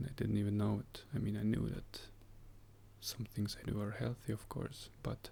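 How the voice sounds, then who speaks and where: A man whispering at a moderate pace. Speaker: health vlogger. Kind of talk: casual vlog monologue. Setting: home, early morning.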